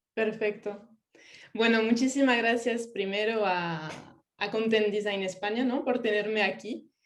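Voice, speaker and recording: A woman with a French accent talks fairly slowly at a fairly high pitch, her intonation fairly even, with audible room echo. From France. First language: French (speaking Spanish). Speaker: UX writer and localization specialist. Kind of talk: online talk.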